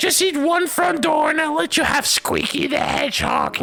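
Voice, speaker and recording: Over clear music in the background, a put-on character voice with a high pitch speaks at a moderate pace. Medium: read story. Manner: offhand, teasing.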